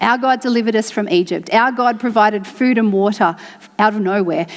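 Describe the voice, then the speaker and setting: An unremarkable speaking voice at a moderate pace. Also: woman. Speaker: church preacher giving a sermon. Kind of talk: sermon to a congregation.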